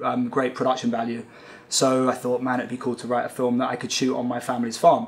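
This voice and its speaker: Someone with a British accent speaks over noticeable background noise. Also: man. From UK. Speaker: film director. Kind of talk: interview. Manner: halting, many fillers.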